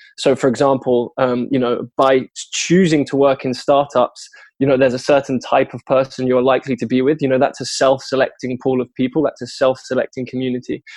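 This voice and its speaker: A man with a British accent talks at a fairly quick pace, medium in pitch and monotone, with flat intonation. The sound is dry and close, with no echo. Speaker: software developer. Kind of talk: interview. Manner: articulate.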